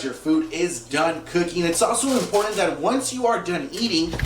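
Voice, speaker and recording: A man with a high pitch speaks at a fairly quick pace while noticeable background noise carries on. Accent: American. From Los Angeles, California. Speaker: TV news anchor and journalist. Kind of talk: English TV news reporting. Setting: studio and on-location news reporting.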